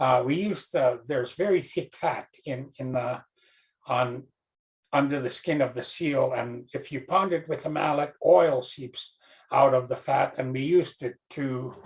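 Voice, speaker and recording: Somewhat breathy and fairly high-pitched, a man speaks at a fairly slow pace with ordinary pitch variation. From Canadian Arctic, Inuit, Rankin Inlet. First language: Inuktitut. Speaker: children's author. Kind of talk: storytelling talk to school students. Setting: livestream. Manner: halting, many fillers.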